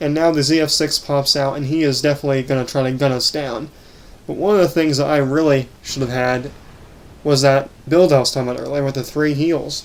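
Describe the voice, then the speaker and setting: A man talks at a fairly quick pace with a fairly high pitch and fairly even intonation. Noticeable background noise runs underneath. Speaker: gaming YouTuber. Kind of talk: gameplay commentary.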